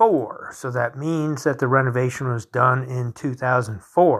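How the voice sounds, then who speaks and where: A man talks at a medium pitch with ordinary pitch variation and an unremarkable speaking voice. The recording is very clean, with a silent background. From North Carolina. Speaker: podcast host, home inspector. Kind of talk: solo monologue, informal explainer. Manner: casual, with frequent fillers and restarts.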